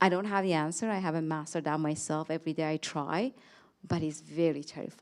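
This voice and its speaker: A woman with a non-native accent talks at a very fast pace in a very deep, low pitch with fairly even intonation. The recording is very clean, with a silent background. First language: not English. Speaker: panelist, academic leader. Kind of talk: panel discussion. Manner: halting.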